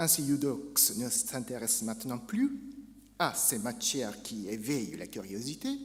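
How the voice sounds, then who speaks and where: A man with a Japanese accent, vocal fry and very wide pitch swings, in audible room echo. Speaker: academic speaker. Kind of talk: conference lecture. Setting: academic conference.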